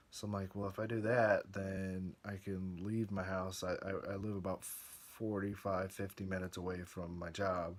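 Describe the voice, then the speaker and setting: A man mumbles quietly in a very deep, low voice with monotone, flat intonation. He leaves hardly any pauses. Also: moderate pace. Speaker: video blogger. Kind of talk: casual vlog monologue. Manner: quiet, mumbling; halting, hesitant.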